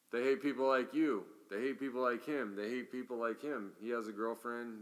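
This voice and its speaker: Speaking with an American accent, a man has a normal speaking voice of medium pitch and fairly even intonation. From US Midwest. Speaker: podcast host. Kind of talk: casual chat.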